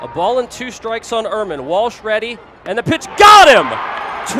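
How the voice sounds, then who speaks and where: Using a raised, projected voice, a man speaks at a fairly slow pace. His pitch swings very widely. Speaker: minor league baseball play-by-play broadcaster. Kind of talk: sports play-by-play broadcast.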